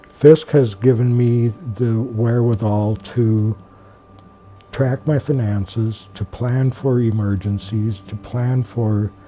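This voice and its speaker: Over noticeable background noise, a man talks at a very slow pace with fairly even intonation. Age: 60s. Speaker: program participant. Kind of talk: testimony. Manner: halting.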